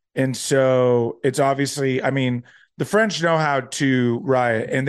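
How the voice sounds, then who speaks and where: With an ordinary speaking voice, a man talks at a fairly high pitch and with fairly even intonation. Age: 30s. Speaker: finance podcast host. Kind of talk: solo commentary on current events. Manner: casual, many filler words.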